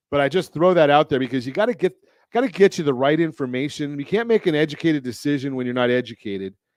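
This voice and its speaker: A normal speaking voice from a man with an American accent, fairly high in pitch and lively in intonation, dry and close with no echo over a quiet background. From Southern California. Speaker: radio show host, mortgage lender and consumer advocate. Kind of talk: radio talk show host.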